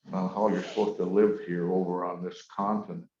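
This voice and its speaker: The man's dark, mellow voice sits fairly low, moving at a moderate pace with fairly even intonation. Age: 70s. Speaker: Ojibwe elder and storyteller. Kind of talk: storytelling talk.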